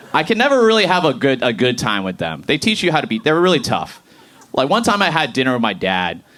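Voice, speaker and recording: A man with an American accent, fairly high pitch, vocal fry, a bright, sharp tone, very wide pitch swings and a very fast pace. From Boston, US Northeast. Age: 30s. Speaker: stand-up comedian. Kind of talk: stand-up. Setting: stage with audience.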